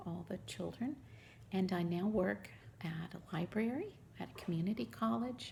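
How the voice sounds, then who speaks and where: A woman's medium-pitched voice in a Southern US accent, dark and mellow in tone with vocal fry, very wide pitch swings and a moderate pace. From US South, Mississippi. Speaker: crafting vlogger. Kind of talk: casual show-and-tell vlog.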